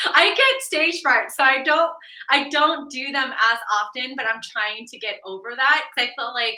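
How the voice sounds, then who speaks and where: A woman with an American accent speaks in a raised, projected voice at a high pitch, her pitch varying in an ordinary way while her loudness swings widely. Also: moderate pace. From Denver, Colorado, US. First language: Vietnamese. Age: 30s. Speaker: real estate agent. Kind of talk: podcast interview.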